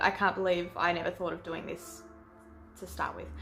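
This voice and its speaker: Music plays behind this voice. A woman talks with an Australian accent. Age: 20s. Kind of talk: casual talk to camera.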